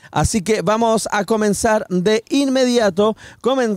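A man is captured with a dry, close sound and no echo. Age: 40s. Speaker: podcast host. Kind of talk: casual chat.

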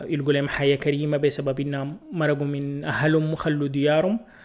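A fairly high-pitched man with a Sudanese accent and monotone, flat intonation. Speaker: podcast host and video creator. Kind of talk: solo podcast monologue. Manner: casual, hesitant with fillers.

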